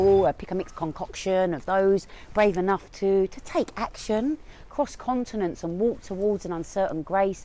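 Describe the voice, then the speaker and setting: The woman's voice has a dark, mellow tone. Her pitch varies in an ordinary way. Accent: Cockney. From East London. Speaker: spoken word poet. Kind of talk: spoken word poetry performance.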